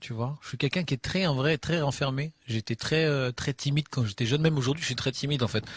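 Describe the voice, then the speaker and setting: A man with a fairly high pitch speaks in a somewhat breathy voice with fairly even intonation, the sound dry and close with no echo. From Normandy, Le Havre. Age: 30s. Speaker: rapper. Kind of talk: interview. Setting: backstage dressing room. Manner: halting.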